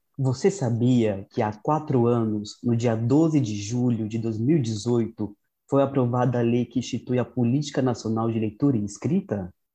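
Speaking fairly slowly with hardly any pauses, a man uses a medium pitch, ordinary pitch variation and a dark, mellow tone. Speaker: podcast co-host. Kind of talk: scripted narration.

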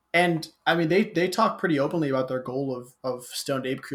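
A man talks in a plain, everyday voice at a fairly quick pace. His pitch is fairly high, with ordinary pitch variation. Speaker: podcast host. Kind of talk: casual chat.

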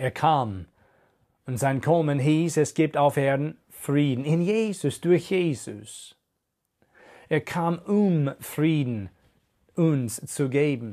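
Here a man with a fairly high pitch and a dark, mellow tone speaks at a very slow pace. The recording is very clean, with a silent background. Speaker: preacher. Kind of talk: sermon. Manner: earnest, direct appeal to listener; measured, teaching pace.

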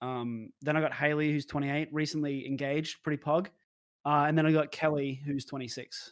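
A man speaks at a fairly quick pace with an Australian accent. His pitch is fairly high and his intonation is monotone and flat. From Brisbane, Australia. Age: 20s. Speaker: streamer. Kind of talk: interview. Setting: video call.

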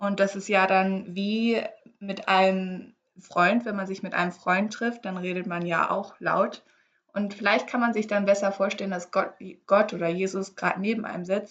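Her intonation is monotone and flat, at a medium pitch. The woman keeps a moderate pace. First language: English (speaking German). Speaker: podcast co-host. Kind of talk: casual chat.

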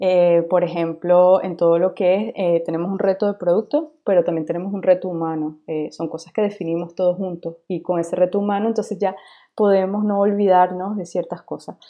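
Fairly even in intonation, an ordinary speaking voice proceeds at a moderate speed. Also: woman. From Venezuela. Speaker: UX designer. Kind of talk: interview.

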